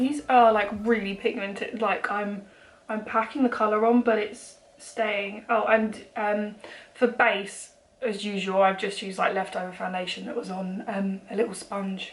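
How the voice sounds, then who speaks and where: With a British accent, a woman speaks at a fairly slow pace in a fairly high, monotone, flat voice over noticeable background noise. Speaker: beauty vlogger. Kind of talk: makeup tutorial. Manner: casual, hesitant with fillers.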